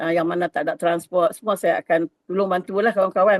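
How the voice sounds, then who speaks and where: A woman talks at a very fast clip. The sound is dry and close, with no echo. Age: 60s. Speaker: network marketing agent. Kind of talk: testimony. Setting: video call.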